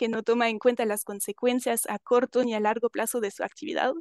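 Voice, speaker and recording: Recorded with a dry, close sound, no echo and a quiet background, a woman with a non-native accent speaks in a fairly high voice with fairly even intonation. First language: not Spanish (speaking Spanish). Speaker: panelist working with rural schools. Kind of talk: panel talk with slides. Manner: halting, with fillers and self-corrections.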